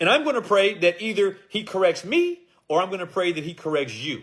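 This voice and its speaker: Lively intonation runs through this man's high-pitched voice. His tone is animated. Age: 60s. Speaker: preacher. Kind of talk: sermon.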